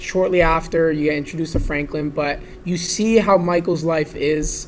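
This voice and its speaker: Noticeable background noise sits behind a man with a high pitch. He talks at a moderate pace with fairly even intonation. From Vaughan, Ontario, Canada. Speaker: real estate agent, podcast guest. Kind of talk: casual conversation about a video game.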